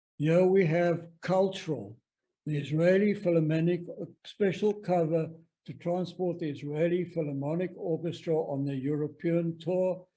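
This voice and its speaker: A man with a South African accent, high pitch, fairly even intonation and a dark, mellow tone. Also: moderate pace. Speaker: stamp collector presenter. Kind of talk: presentation lecture.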